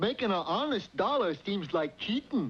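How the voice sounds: A man puts on a character voice, pitched high with big swings and a husky, rough edge. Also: moderate pace.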